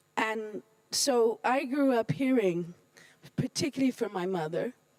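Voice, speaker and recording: Dry and close with no echo, the recording has a woman with an American accent speaking at a very slow pace with lively intonation. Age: 60s. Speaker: UN official. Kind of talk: panel talk.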